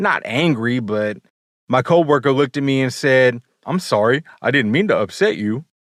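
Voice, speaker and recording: Passionate and animated, a man speaks at a moderate pace with a medium pitch and lively intonation, recorded with a dry, close sound and no echo. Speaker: podcast host. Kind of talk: personal storytelling monologue. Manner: passionate, animated cadence.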